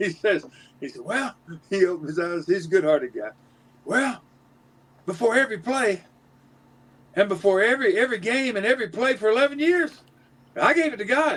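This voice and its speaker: In a Southern US accent, a man with a high pitch talks fairly quickly, with very wide pitch swings and long, frequent pauses. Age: 70s. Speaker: former athlete and retired banker. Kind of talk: casual interview chat. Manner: halting, many false starts.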